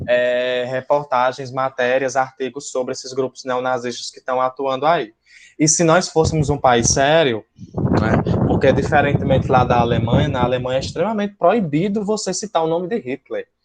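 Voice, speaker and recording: Speaking with a northeastern Brazilian accent, a man keeps a moderate pace and a medium pitch with ordinary pitch variation. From Brazil, Northeast. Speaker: school teacher. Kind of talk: lecture. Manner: hesitant, many fillers.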